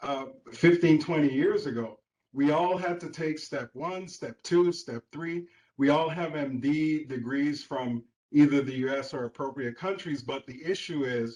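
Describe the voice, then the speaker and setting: Speaking at a fairly slow pace, a man uses a fairly high pitch. His pitch varies in an ordinary way. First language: Spanish. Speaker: public commenter, physician. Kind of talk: public comment. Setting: video conference call.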